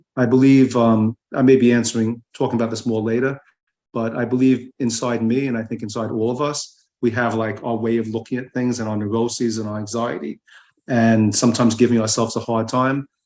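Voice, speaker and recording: In an American accent, a man speaks at medium pitch and a fairly quick pace, his intonation monotone and flat. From New York. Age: 70s. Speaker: writer. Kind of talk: casual chat. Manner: halting.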